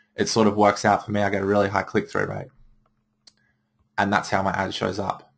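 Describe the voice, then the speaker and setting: The recording is very clean with a silent background. A man talks with fairly low pitch. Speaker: marketing trainer for photographers. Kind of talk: tutorial.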